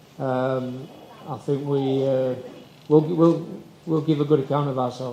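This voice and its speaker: A man with an English accent speaks at a fairly high pitch and fairly slow pace, monotone and flat, with long, frequent pauses. Audible room echo and noticeable background noise are present. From England. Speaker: football coach. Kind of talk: press conference.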